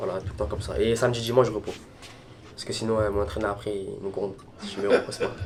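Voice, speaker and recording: Music plays behind the speaker. A man talks very fast. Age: 20s. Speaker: Muay Thai fighter. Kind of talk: documentary interview. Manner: halting.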